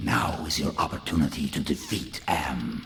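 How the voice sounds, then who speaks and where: A man growls in a put-on character voice, his pitch very deep and low, at a moderate pace. Background noise is clear. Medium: video game. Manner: imperious, formal.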